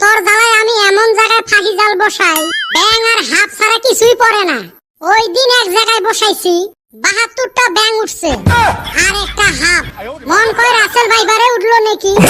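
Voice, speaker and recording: This cartoonish character voice has a rumbling quality. It moves at a moderate pace. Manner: grumbling, cursing.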